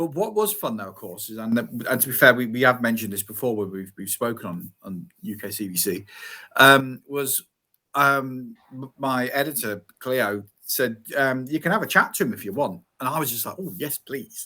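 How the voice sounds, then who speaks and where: On a very clean recording with a silent background, a man of medium pitch speaks at a moderate pace in a bright, sharp tone with lively intonation and big swings in loudness. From England, Coventry. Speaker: crime novelist. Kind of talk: casual interview chat. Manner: hesitant, many false starts.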